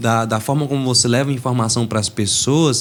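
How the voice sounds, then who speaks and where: A man at a medium pitch, with a fairly quick pace and monotone, flat intonation. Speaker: podcast host and lawyer. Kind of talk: casual chat. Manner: fast, clipping words.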